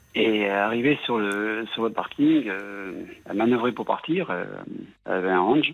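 Very slowly, a man speaks at a medium pitch, his pitch moving in an ordinary way. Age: 60s. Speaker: radio caller. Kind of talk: phone-in confession. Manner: halting.

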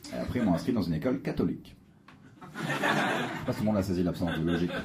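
A man talks at a fairly quick pace over noticeable background noise, with audible room echo. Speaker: stand-up comedian. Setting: comedy club stage with audience.

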